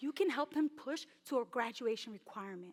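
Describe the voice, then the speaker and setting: Dry and close with no echo, a woman's high-pitched voice carries an energetic tone and an American accent. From New York City. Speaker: personal finance educator. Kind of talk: conference talk.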